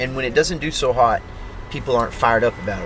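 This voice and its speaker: A man speaks with a Texas accent. Noticeable background noise runs behind him. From Texas, Maypearl. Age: 40s. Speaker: country singer-songwriter. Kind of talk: interview. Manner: casual.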